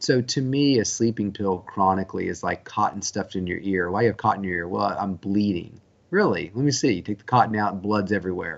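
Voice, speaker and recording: Speaking at a fairly quick pace, a man uses an unremarkable speaking voice that sits fairly low, with ordinary pitch variation. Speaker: sleep physician. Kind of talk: interview answer.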